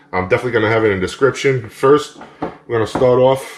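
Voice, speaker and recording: A medium-pitched male voice against noticeable background noise. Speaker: cooking channel host. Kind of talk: tutorial. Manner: casual, upbeat.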